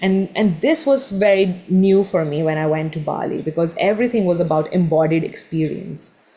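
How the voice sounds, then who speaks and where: A woman's voice has a dark, mellow tone. She speaks at a moderate pace. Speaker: meditation teacher. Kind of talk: online workshop talk.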